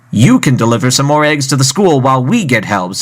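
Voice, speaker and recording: A man puts on a character voice at a medium pitch. He talks at a very fast pace. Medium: read story. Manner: friendly, patient.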